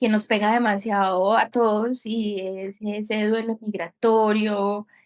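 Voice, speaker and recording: Her pitch sits fairly high for a woman, with monotone, flat intonation. She speaks at a very slow pace. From Colombia. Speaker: podcast host. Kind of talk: podcast interview, casual chat.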